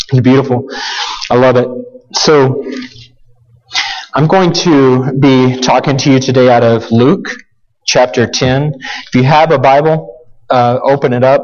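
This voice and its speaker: There is audible room echo as a man talks at a fairly slow pace with fairly even intonation. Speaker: guest preacher. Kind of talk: sermon. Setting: church with congregation. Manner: halting, with repeated words.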